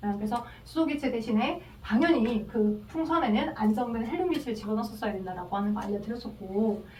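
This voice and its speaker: A woman talks at a very fast pace with very wide pitch swings. Audible room echo and noticeable background noise fill the recording. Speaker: chemistry tutor. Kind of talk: lecture.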